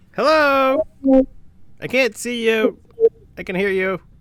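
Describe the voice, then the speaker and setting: In a put-on character voice, the speaker goes at a fairly slow pace with ordinary pitch variation. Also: man, extremely high pitch for a man. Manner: pleading, calling out.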